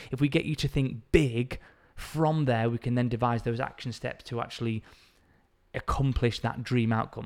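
A man speaks with a northern English accent at a moderate pace. His voice sits at a medium pitch, with fairly even intonation. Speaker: fitness coach and podcast host. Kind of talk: solo educational talk.

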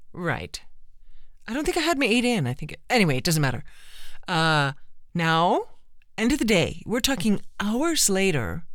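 Vocal fry from a woman at a moderate pace, with very wide pitch swings and long, frequent pauses. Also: medium pitch for a woman. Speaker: cochlear implant recipient. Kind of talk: casual conversational podcast.

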